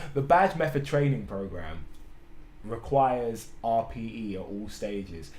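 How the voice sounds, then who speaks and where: A man talks with vocal fry. Room echo is audible. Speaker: fitness coach. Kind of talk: tutorial. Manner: slurring words; casual, hesitant with fillers.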